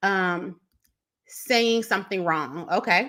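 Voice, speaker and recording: The tone is bright and sharp. The recording is very clean, with a silent background. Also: woman. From Chicago, US Midwest. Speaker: business coach. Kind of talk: live stream tutorial. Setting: live stream. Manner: stumbles over words when excited.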